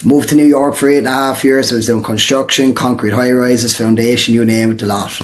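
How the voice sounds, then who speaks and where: Very fast, with hardly any pauses, a man speaks at a medium pitch in a flat monotone. Audible room echo and noticeable background noise surround him. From Ireland, Portlaw (Co. Waterford). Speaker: real estate wholesaler, former soccer player. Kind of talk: podcast interview. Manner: casual, filler-heavy.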